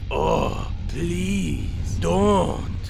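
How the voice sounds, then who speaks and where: Over loud background noise, a man uses a put-on character voice with a very deep, low pitch. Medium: audio drama. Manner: cold, formal, imperious.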